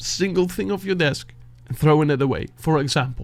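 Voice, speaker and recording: A man's fairly high voice in a Dutch accent at a moderate pace. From Netherlands. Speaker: beatboxer and music reaction youtuber. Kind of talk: heartfelt motivational talk to camera. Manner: halting, searching for words.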